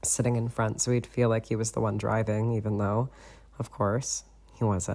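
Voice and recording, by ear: The words are read aloud in a natural voice.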